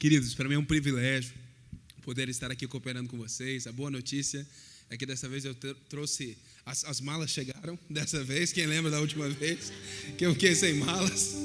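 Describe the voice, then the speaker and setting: In a room with audible echo, a man with a fairly high voice speaks at a moderate pace with ordinary pitch variation. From southern Brazil, Curitiba. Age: 20s. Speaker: pastor. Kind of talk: sermon. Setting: church.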